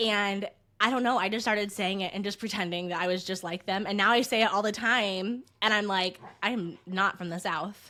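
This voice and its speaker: A woman with a US Midwestern accent, bright and sharp in tone, medium-pitched, at a moderate pace with fairly even intonation, in a very clean recording with a silent background. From Indiana. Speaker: podcast co-host. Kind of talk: casual chat.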